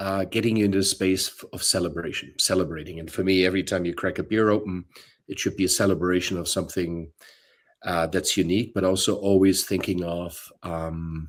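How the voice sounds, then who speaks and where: A man with a German accent talks at a fairly quick pace in a very deep, low pitch and a monotone, flat intonation, on a very clean recording with a silent background. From Bavaria, Germany. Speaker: brewery co-founder and brewer. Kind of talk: interview.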